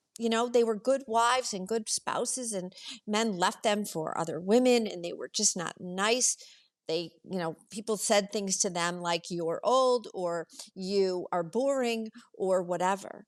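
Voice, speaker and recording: A woman with a plain, everyday voice speaks at a fairly slow pace and medium pitch, showing ordinary pitch variation on a very clean recording with a silent background. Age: 60s. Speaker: retired executive. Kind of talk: casual chat.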